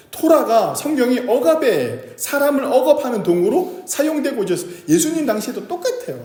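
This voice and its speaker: The man's pitch swings very widely at a fairly quick pace. Audible room echo surrounds him. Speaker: pastor. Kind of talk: sermon. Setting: church service. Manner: conversational, asks audience questions.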